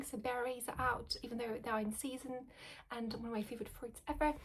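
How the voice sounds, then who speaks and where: A soft-spoken woman with a high pitch. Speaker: video blogger. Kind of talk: casual chat. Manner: halting.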